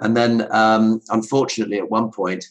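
Speaking at a moderate pace, a man with a southern English accent uses a medium pitch. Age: 50s. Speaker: ultra runner and entrepreneur. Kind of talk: casual interview chat.

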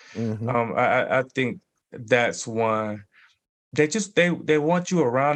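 A man talks at a moderate pace in an ordinary speaking voice, his pitch medium. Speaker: author and public speaker. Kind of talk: interview conversation.

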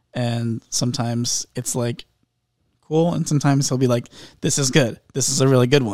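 A man's unremarkable speaking voice, medium in pitch, with fairly even intonation. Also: moderate pace. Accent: American. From Indianapolis, US Midwest. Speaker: songwriter and musician. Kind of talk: casual interview chat.

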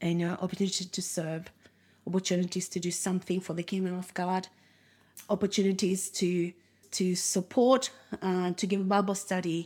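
The speech moves at a moderate pace in a flat, monotone intonation. The recording is very clean, with a silent background. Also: woman, medium pitch for a woman. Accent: Spanish. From Uruguay. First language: Spanish. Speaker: minister and missions committee member. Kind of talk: casual interview conversation.

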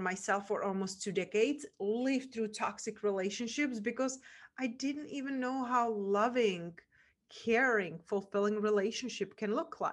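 At a moderate pace, a woman talks with a Czech accent. Her pitch is fairly high with ordinary variation. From Czech Republic. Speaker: podcast host and mindset coach. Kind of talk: interview conversation. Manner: animated.

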